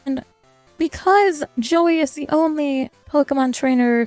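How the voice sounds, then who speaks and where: With music in the background, a woman with a high pitch and lively intonation speaks at a fairly slow pace in a dry, close sound with no echo. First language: not English. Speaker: VTuber. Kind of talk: casual gaming highlight narration.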